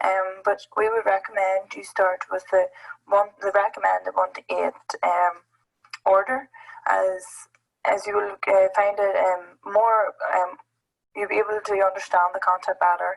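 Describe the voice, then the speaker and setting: Someone with a Northern Irish accent speaks at a fairly slow pace with long, frequent pauses and ordinary pitch variation. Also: woman. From Northern Ireland. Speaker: app presenter at education summit. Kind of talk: tutorial. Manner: hesitant, many fillers.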